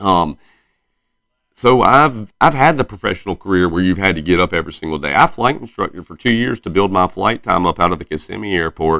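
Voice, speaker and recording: On a very clean recording with a silent background, a man with a very deep, low pitch speaks fairly quickly and with lively intonation. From US South, Myrtle Beach, South Carolina. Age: 30s. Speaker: podcaster. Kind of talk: casual monologue. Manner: rambling, halting with many fillers.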